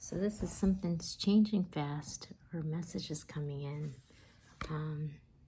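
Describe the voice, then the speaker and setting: Soft-spoken and fairly slow, a woman speaks in a very deep, low voice with ordinary pitch variation. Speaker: tarot reader. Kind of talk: tarot reading.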